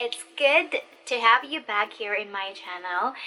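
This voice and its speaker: A woman with a Filipino accent at a fairly slow pace, music in the background. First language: Tagalog. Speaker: online ESL teacher and YouTuber. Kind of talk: tutorial.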